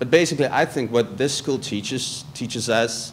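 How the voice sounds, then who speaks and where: Noticeable background noise behind a man at a moderate pace with ordinary pitch variation. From South Africa. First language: not English. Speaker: journalism graduate student. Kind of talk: presentation to prospective students. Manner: halting, many repetitions and fillers.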